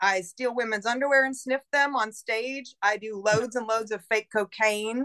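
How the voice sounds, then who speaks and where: In a dry, close recording with no echo, a woman with an American accent speaks at a fairly slow pace with a fairly high pitch, a bright, sharp tone and fairly even intonation. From Buffalo, New York. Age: 40s. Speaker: model and performer. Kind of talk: casual chat.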